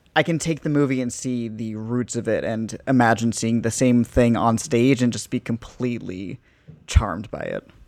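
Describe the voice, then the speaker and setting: Here a man uses a normal speaking voice, pitched at a medium level. He keeps a moderate pace with fairly even intonation. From New Jersey. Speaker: theatre podcast contributor and actor. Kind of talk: casual chat.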